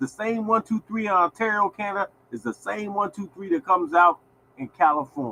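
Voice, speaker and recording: A raised, projected voice, animated and bright with a sharp edge, at a fairly quick clip, with a dry, close sound and no echo. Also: man, high pitch for a man. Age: 60s. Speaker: lottery show host. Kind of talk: casual live-stream talk. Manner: animated, repetitive.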